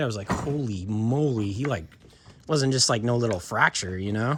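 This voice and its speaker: A man uses an ordinary speaking voice, moving at a moderate pace and with lively intonation. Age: 40s. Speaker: skateboard videographer and channel host. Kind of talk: casual chat.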